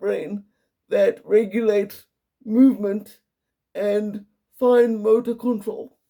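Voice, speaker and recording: A man speaks at a very slow pace in a monotone, flat delivery. His voice is high-pitched, with a dark, mellow tone. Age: 30s. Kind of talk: personal explainer monologue. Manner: relatively clear but impaired articulation.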